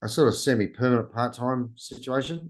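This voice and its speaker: A man speaks with a strong Australian accent against a quiet background. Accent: broad Australian. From Australia, New South Wales (Orange, Sydney). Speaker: travel YouTuber. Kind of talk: interview. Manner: halting.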